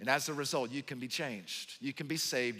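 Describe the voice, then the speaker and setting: A man talks with a Southern US accent. His tone is bright and sharp. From US South. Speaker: pastor. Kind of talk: sermon.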